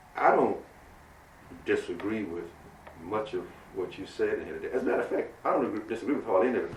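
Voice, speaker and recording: A man talks at a very fast pace yet leaves long, frequent pauses. Audible room echo surrounds the voice. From US South. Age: 70s. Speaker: local official. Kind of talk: heated debate.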